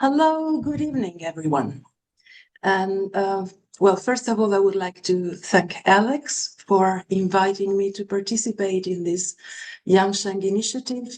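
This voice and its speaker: At a fairly slow pace, a woman talks in a medium pitch with lively intonation. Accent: non-native. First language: Italian. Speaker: acupuncturist and lecturer. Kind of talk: webinar lecture.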